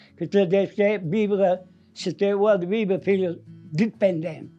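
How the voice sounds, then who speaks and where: A man's high-pitched voice at a fairly slow pace, with ordinary pitch variation and music in the background. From Valgrisenche, Aosta Valley, Italy. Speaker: mountain villager, former farm worker. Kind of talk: interview answer.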